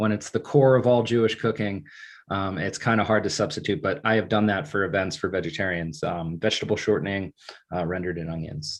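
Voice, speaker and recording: Against a quiet background, a man with an American accent talks at a fairly quick pace in a plain, everyday voice, fairly low in pitch with ordinary pitch variation. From northern New Jersey (Bergen County). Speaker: bagel shop founder. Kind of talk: online Q&A presentation. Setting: video call.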